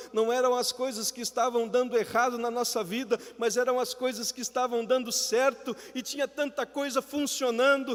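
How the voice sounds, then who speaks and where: Over noticeable background noise, a man with an extremely high pitch talks at a moderate pace with fairly even intonation. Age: 40s. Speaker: preacher, missionary. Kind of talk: live sermon in church.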